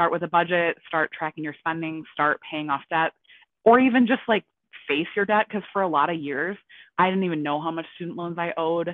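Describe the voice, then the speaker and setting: The speaker has a plain, everyday voice, a fairly quick pace and ordinary pitch variation. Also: woman, fairly low pitch for a woman. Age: 20s. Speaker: personal finance content creator. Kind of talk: casual chat.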